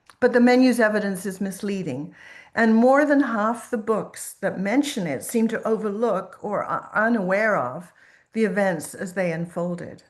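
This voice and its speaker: A woman talks with lively intonation, and the room echo is audible. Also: medium pitch for a woman, moderate pace. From Quebec. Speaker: professor and food historian. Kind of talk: lecture.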